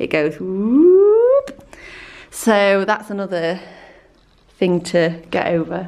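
A woman with a Yorkshire accent speaks very slowly, with long, frequent pauses and ordinary pitch variation. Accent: Northern English (Yorkshire). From South Yorkshire / North Lincolnshire border, England. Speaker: photographer and artist. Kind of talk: casual vlog talk to camera.

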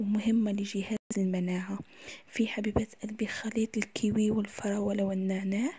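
A woman talks at a moderate pace and medium pitch, somewhat breathy and dark, mellow in tone. Her intonation is monotone and flat. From Algeria. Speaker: cooking YouTuber. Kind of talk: casual tips video.

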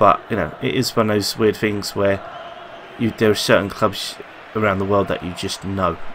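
A man speaks with a London accent and fairly even intonation, his pitch fairly low. Light background noise sits underneath. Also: moderate pace. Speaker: gaming youtuber; gaming video creator. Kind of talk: gameplay commentary. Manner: halting. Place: home room. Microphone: headset.

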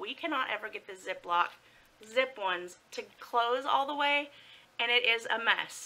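A woman with a high voice speaks at a fairly slow pace, her intonation lively. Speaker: food vlogger. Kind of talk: casual vlog chat. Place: home room. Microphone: phone near.

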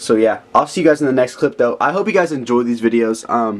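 Lively intonation carries this fairly quick delivery. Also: man. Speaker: vlogger. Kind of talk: casual vlog chat. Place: home room. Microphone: phone near.

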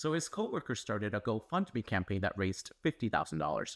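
Pitch swings very widely in this male voice. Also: quiet background. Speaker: news explainer host. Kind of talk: scripted news explainer. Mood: serious, earnest.

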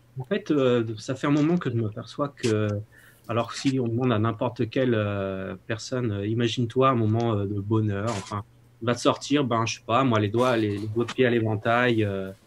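A man keeps to a moderate pace and fairly even intonation while light background noise runs underneath. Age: 40s. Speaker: participant, former manager. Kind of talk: casual chat. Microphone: video call.

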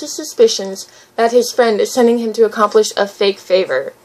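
A woman speaks in a high pitch. Noticeable background noise can be heard behind her. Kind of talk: reading a written essay aloud.

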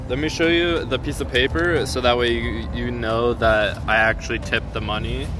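There is noticeable noise in the background. The sound is dry, with no echo. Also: man. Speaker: streamer. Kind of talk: casual livestream chat. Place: street. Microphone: phone near.

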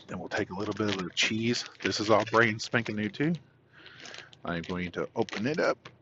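A man talks at a fairly slow pace with a fairly low pitch. The sound is dry with no echo, though there is noticeable background noise. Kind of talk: casual cooking tutorial. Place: car. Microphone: phone near.

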